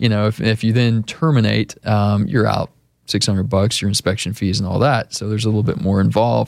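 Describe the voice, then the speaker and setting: Speaking fairly quickly with an American accent, a man has a normal speaking voice, a fairly low pitch and ordinary pitch variation, recorded with a dry, close sound and no echo. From Austin, Texas. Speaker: real estate agent. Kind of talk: radio interview. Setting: radio studio.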